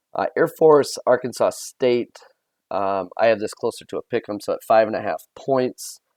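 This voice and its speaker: In a dry, close sound with no echo, a man talks at a moderate pace. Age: 40s. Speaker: sports betting video host. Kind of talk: casual sports betting picks monologue. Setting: recording at parents' house. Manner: halting, frequent fillers and repetitions.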